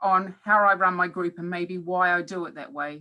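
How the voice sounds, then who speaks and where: Bright, sharp tone from a woman with a New Zealand accent and a medium pitch. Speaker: professor. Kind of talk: webinar talk. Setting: online webinar.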